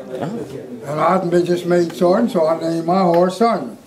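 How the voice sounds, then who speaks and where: A man with an American accent talks at a high pitch and a moderate pace, with ordinary pitch variation over noticeable background noise. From Colorado, USA. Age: 80s+. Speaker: war veteran. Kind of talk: interview answer. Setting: rough audio quality near the end. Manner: storytelling. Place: classroom.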